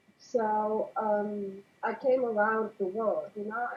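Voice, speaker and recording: Over music in the background, a woman with a non-native accent speaks at a fairly high pitch. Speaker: interview guest. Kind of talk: casual interview. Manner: halting.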